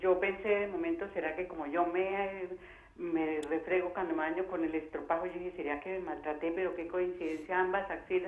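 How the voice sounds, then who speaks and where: There is noticeable background noise and audible room echo. A woman of medium pitch speaks at a moderate pace with fairly even intonation. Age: 60s. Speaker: caller. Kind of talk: call-in question.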